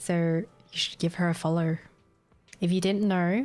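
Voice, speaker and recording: Over music in the background, a woman with an Australian accent and a medium pitch talks at a fairly slow pace. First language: Vietnamese. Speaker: gaming streamer. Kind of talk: casual chat.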